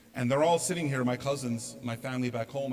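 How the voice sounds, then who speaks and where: A very fast-talking man with an American accent, medium pitch and ordinary pitch variation. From US, New York (Long Island). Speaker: speaker. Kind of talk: talk to an audience.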